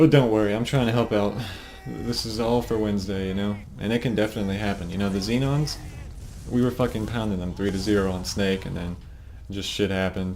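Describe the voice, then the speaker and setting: Against music in the background and audible room echo, a man speaks very fast at a fairly low pitch with ordinary pitch variation. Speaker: competitive gamer and team leader. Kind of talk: game demo review for teammates. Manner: casual, fast. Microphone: low quality recording.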